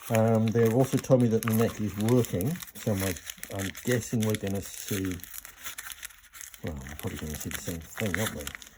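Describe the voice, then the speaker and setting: The speech moves at a moderate pace with long, frequent pauses over noticeable background noise. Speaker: pickup maker and repairer. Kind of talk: working commentary. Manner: mumbling to himself.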